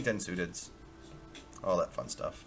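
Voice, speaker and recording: Music plays in the background as a man talks. His pace is moderate and his pitch variation ordinary. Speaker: poker player and coach. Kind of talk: casual live poker commentary.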